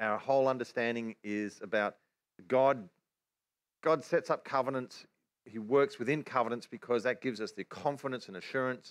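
With an Australian accent, a man speaks at a moderate pace in a medium pitch with ordinary pitch variation. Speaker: Bible teacher. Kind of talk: religious teaching livestream.

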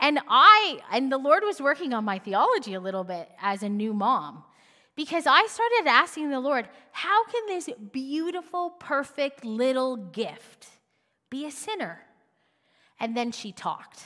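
In a raised, projected voice, a woman speaks at a high pitch with very wide pitch swings. Her tone is bright and sharp, and her pace fairly slow. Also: big swings in loudness. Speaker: pastor. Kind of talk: sermon.

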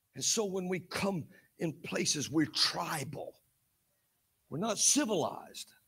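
A man with an Alabama accent, high-pitched, bright and sharp in tone, animated, with lively intonation, a fairly slow pace and long, frequent pauses. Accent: Southern US (Alabama). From US South, Alabama. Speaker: prophet preacher. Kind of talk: sermon.

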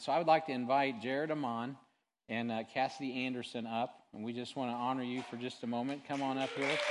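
The speaker talks at a fairly quick pace in a monotone, flat intonation with an American accent. The background is quiet. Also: man. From Missouri, Sibley. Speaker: pastor. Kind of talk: church announcements. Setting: church. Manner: casual.

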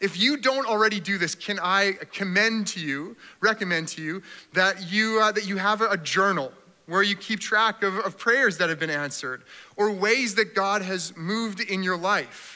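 A man with a high pitch speaks at a moderate pace in a raised, projected voice with a bright, sharp tone. His intonation is lively, and the recording is very clean with a silent background. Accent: Canadian. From Canada. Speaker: pastor. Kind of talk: sermon. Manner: animated.

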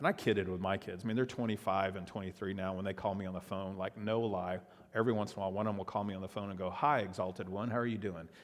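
With a Texan accent, a man talks at a very fast pace with hardly any pauses, a fairly low pitch and fairly even intonation. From South Texas, Padre Island area. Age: 50s. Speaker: pastor. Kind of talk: sermon.

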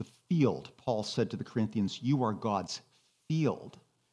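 A man with medium pitch and lively intonation talks at a moderate pace in an ordinary speaking voice. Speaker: retired pastor and spiritual director. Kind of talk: sermon-style talk with slides.

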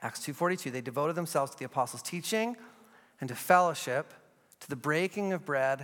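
A man speaks with ordinary pitch variation. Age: 40s. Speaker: pastor. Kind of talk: sermon.

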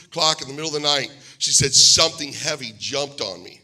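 Music plays behind a man talking at a fairly quick pace. He speaks with an American accent. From Pennsylvania, US. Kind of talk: sermon. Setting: church.

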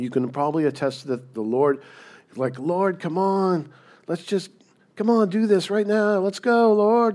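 Over a silent background on a very clean recording, a man talks at a fairly slow pace. His high pitch swings very widely. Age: 50s. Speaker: pastor. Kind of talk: sermon.

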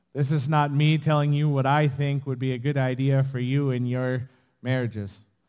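On a very clean recording with a silent background, a man talks at medium pitch in a monotone, flat intonation. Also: moderate pace. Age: 30s. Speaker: pastor. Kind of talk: sermon. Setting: church.

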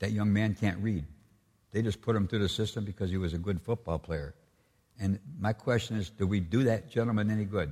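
A man's somewhat breathy, dark and mellow voice of fairly low pitch, at a fairly quick pace with ordinary pitch variation, in a very clean recording with a silent background. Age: 70s. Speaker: state senator. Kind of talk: keynote speech. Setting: church with live audience.

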